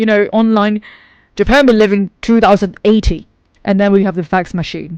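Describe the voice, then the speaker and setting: This woman has a British accent. She talks at a medium pitch. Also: moderate pace, quiet background. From England. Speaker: vlogger. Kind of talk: casual vlog monologue. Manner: animated.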